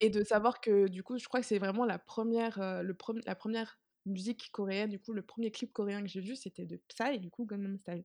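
A woman's plain, everyday voice at medium pitch, a fairly quick pace and fairly even intonation, with a dry, close sound and no echo. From Martinique. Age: 20s. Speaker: student and K-pop fan. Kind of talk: casual chat.

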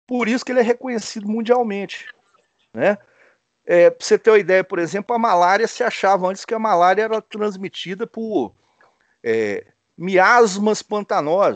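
Against a quiet background, a man with a high voice speaks at a moderate pace with fairly even intonation and long, frequent pauses, the sound dry and close with no echo. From Brazil, Espírito Santo (small town). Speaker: animal science professor and scientist. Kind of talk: interview. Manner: hesitant, repeats words.

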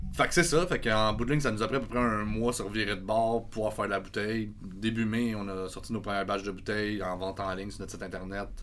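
Amid audible room echo, a man with a Quebec accent and a fairly low pitch speaks very fast, with ordinary pitch variation. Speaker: brewery co-owner and metal band singer. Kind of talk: casual chat.

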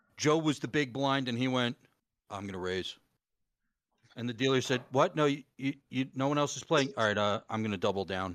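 In a normal speaking voice, the speaker talks at a fairly quick pace with lively intonation, in a very clean recording with a silent background. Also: man, medium pitch for a man. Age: 40s. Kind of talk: casual chat.

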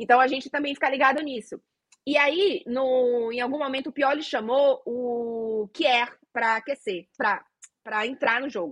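A woman talks at a fairly slow pace. Her pitch is high, with ordinary variation. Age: 30s. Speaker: football correspondent and podcast co-host. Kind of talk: casual chat.

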